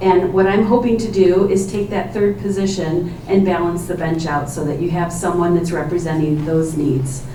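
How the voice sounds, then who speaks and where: Speaking at a moderate pace with a medium pitch and ordinary pitch variation, a woman with an American accent is heard amid audible room echo and noticeable background noise. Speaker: judicial candidate, family law attorney. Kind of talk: candidate opening statement at forum. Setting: public forum in library with microphone. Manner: loud.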